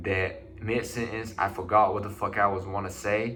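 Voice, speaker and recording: The speech comes at a moderate pace in monotone, flat intonation, with audible room echo. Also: man. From China. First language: Chinese. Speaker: vlogger. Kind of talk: personal vlog monologue. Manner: casual, halting with restarts.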